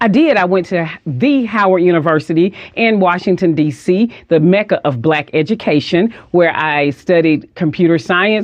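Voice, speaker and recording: With a Southern US accent, a woman speaks at a moderate pace in a fairly low pitch, her intonation lively and her loudness very even. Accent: Southern US (Georgia). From US South, Athens, Georgia. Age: 50s. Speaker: minister. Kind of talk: interview.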